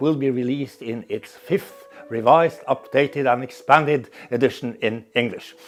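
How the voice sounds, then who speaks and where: With music in the background, a man with a Norwegian accent speaks at a fairly high pitch with ordinary pitch variation. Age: 60s. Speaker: professor. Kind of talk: interview monologue.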